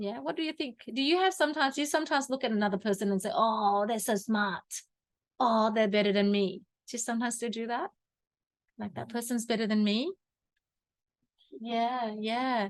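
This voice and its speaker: The speaker talks at a fairly quick pace with lively intonation and long, frequent pauses, over a quiet background. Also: woman. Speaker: personal growth teacher. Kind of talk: workshop teaching session. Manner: halting.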